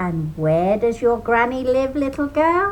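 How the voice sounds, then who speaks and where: A female-sounding, put-on character voice growls at a high pitch, its pitch swinging very widely. It moves at a fairly slow pace against clear background noise. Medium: read story. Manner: growling, sly.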